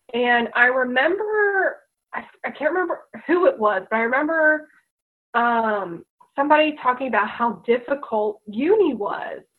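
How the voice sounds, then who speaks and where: A woman with an American accent talks at a moderate pace in a high pitch with very wide pitch swings. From US, Delaware. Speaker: teacher. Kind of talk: casual chat. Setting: video call.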